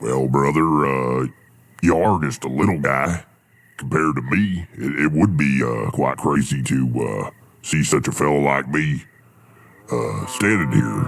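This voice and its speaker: A man puts on a character voice with a very deep, low pitch. He talks at a moderate pace. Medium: audio drama. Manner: easygoing, folksy.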